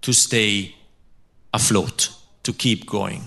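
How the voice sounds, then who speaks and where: Very slowly, a man gets his words out. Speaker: philosophy professor. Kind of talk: lecture. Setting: lecture hall with audience and translator. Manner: halting, pausing for translation.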